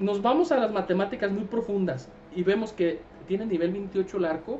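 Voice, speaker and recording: Music plays in the background as a man speaks at a fairly quick pace. His pitch is high with ordinary variation. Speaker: gaming streamer. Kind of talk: casual game commentary. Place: home room.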